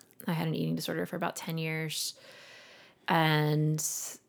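Speaking at a fairly quick pace in a Southern US accent, a woman with a very deep, low voice comes through in a very clean recording with a silent background. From Alabama, Montgomery. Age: 30s. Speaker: therapist and yoga instructor. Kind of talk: casual chat.

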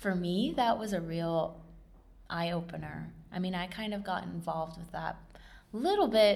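In a room with audible echo, a woman with an American accent speaks at a moderate pace. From southern and central California. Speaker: oral history interviewee, nonprofit worker. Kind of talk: oral history interview. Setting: recording in a library lab. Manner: hesitant, many filler words.

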